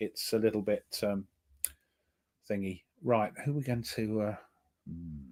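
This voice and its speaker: With an English accent, the voice has a dark, mellow tone and ordinary pitch variation. It moves at a fairly slow pace with long, frequent pauses. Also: man, fairly low pitch for a man. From England. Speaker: board game player. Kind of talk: casual chat.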